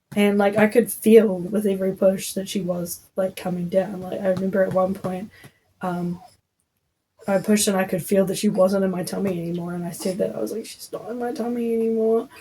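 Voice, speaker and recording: A woman speaks fairly quickly at a medium pitch, her tone dark, mellow and somewhat breathy. Her intonation is fairly even, though her loudness swings widely. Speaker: podcaster, new mother. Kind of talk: casual storytelling podcast. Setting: at home while breastfeeding. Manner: chatty, filler-heavy.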